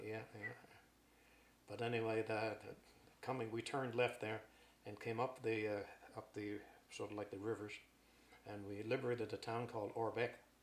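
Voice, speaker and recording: A man speaks with monotone, flat intonation over noticeable background noise. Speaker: war veteran. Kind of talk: interview answer. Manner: storytelling.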